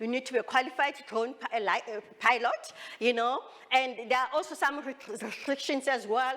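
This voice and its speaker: A woman with high pitch and ordinary pitch variation, with noticeable background noise. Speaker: drone company founder and presenter. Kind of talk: expo presentation. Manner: fast; halting, repeats words.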